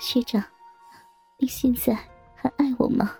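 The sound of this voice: A woman puts on a character voice, fairly high in pitch with a dark, mellow tone, a husky, rough edge and vocal fry, talking at a fairly slow pace with ordinary pitch variation, the sound dry and close with no echo and faint music behind her.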